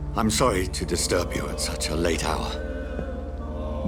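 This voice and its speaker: A man uses a put-on character voice at a fairly slow pace against loud background noise. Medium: voice reel. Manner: brooding, formal.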